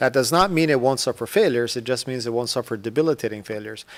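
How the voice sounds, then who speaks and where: On a very clean recording with a silent background, a man with a Spanish accent speaks at medium pitch with ordinary pitch variation. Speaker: aerospace executive. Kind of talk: panel discussion. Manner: halting, with stutters and fillers.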